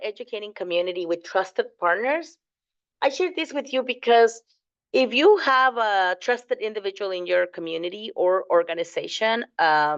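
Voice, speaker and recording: A woman talks at a moderate pace with a Spanish accent. Her pitch swings very widely. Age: 40s. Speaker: fundraising course instructor. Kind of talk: lecture. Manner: casual, with frequent fillers.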